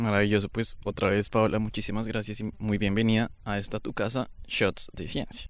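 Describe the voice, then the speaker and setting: A man with a Bogotá accent talks at a moderate pace with hardly any pauses. His fairly low voice is monotone and flat, on a very clean recording with a silent background. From Bogotá, Colombia. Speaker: podcast host. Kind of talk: interview conversation. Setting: outdoors by a river.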